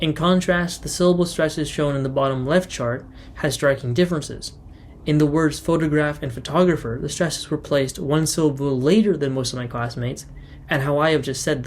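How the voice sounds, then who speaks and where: With a normal speaking voice, a man talks at a fairly quick pace, his fairly high pitch held in fairly even intonation. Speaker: student. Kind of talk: student class presentation.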